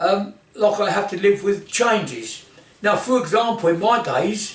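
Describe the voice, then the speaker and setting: Speaking at a fairly slow pace, a man uses a high pitch with ordinary pitch variation. There is audible room echo and noticeable background noise. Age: 80s+. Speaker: martial arts instructor. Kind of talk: informal talk to camera. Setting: indoor office. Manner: halting.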